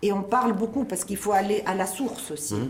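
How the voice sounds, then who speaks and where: In a room with audible echo and noticeable background noise, a woman speaks with ordinary pitch variation. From Tunisia. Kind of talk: interview.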